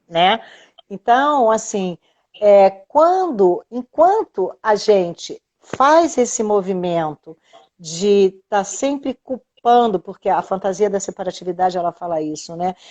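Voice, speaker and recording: Speaking at a very slow pace, a woman keeps to a medium pitch. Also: lively intonation, dry, close sound with no echo. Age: 60s. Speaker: integrative therapist. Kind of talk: casual chat. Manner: animated; halting.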